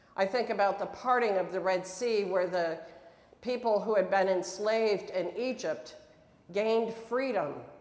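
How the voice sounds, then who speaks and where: Audible room echo surrounds a woman with an American accent who speaks at a fairly slow pace, her pitch medium with ordinary variation. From upstate New York. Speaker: pastor. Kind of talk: sermon. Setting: church. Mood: warm, earnest. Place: church.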